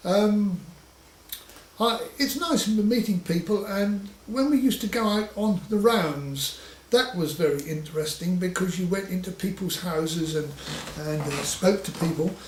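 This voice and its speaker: Through noticeable background noise and audible room echo, a man with high pitch speaks at a fairly slow pace with ordinary pitch variation. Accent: Suffolk. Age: 60s. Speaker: butcher. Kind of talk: oral history interview. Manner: halting with frequent stammers and fillers.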